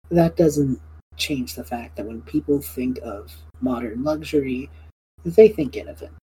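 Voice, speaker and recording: A woman speaks slowly-ish, at a fairly slow pace, in a very deep, low pitch. Her tone is dark and mellow, with vocal fry. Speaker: podcast host and game master. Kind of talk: casual chat, tabletop roleplaying podcast.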